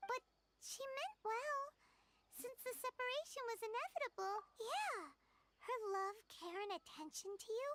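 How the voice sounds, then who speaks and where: A squeaky put-on character voice at an extremely high pitch moves at a moderate pace with long, frequent pauses. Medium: video game.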